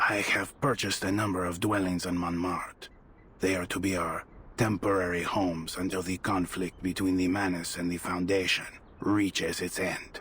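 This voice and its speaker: In a cartoonish character voice, a man speaks very deep and low with a solemn tone, monotone, flat intonation and a moderate pace over light background noise. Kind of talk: archaic formal speech. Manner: solemn, measured.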